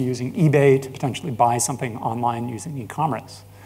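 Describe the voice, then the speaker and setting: In an American accent, the voice comes across dark, mellow and somewhat breathy at a fairly quick pace, with fairly even intonation and audible room echo. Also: man. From United States. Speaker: business founder and industry analyst. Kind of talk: conference presentation.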